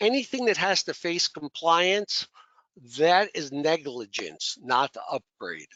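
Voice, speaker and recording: High-pitched for a man, this male voice moves through very wide pitch swings. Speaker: IT services presenter. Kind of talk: webinar presentation. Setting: online webinar with slides.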